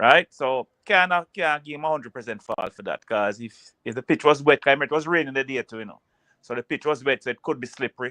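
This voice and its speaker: A man with a Jamaican accent at a very fast pace, ordinary pitch variation and big swings in loudness. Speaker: football pundit. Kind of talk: casual chat.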